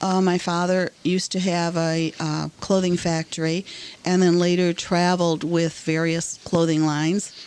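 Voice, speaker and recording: Spoken at a fairly slow pace with fairly even intonation, the clip carries noticeable background noise. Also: woman. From Germany (Bavaria, Augsburg). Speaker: Holocaust survivor. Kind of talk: interview. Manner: halting, many fillers.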